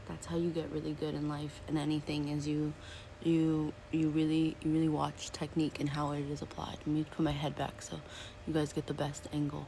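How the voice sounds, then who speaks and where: A woman whispers at a fairly quick pace. She is soft-spoken. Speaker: beauty vlogger. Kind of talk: makeup tutorial. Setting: at home, seated by a window. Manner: whispering, soft-spoken; chatty.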